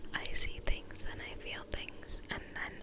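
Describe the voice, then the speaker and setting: With noticeable noise behind it, a whispering voice goes along at a fairly slow pace. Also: woman. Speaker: ASMR creator. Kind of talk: ASMR poetry reading. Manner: gentle, close whisper.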